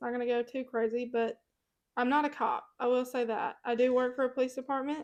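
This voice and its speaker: Speaking at a moderate pace with a Mississippi accent, a woman uses a high pitch and fairly even intonation against a quiet background. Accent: Southern US (Mississippi). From US South, Mississippi. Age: 20s. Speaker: podcast co-host. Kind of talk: casual chat.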